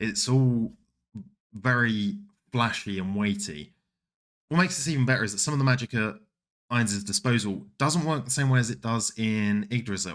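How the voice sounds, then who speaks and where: Someone with a British accent speaks at a moderate pace with lively intonation. Long, frequent pauses break up the speech. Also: man, medium pitch for a man. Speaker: anime streamer and video essayist. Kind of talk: scripted video essay.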